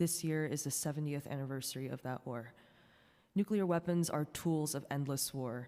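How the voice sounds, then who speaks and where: Speech unfolds at a moderate pace. The recording is very clean, against a silent background. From US East Coast, born in South Korea. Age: 20s. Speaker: anti-war organizer. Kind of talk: public testimony. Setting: city council hearing. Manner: formal.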